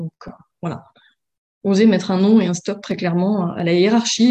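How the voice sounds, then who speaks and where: A woman's medium-pitched voice with a dark, mellow tone, fairly even intonation, and a moderate pace. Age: 30s. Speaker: former coaching client. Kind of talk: interview testimony.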